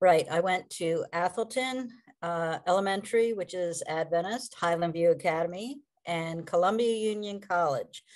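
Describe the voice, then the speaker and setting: A woman with an American accent has a plain, everyday voice. She talks at a moderate pace and medium pitch, with ordinary pitch variation. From Maryland, US. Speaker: assisted living provider. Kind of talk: interview.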